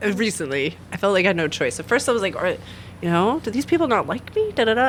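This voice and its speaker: At a very fast pace, a woman with a fairly high voice speaks over noticeable background noise. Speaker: aerial arts studio owner and instructor. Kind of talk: radio interview, casual chat. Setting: radio studio. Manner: animated, conversational.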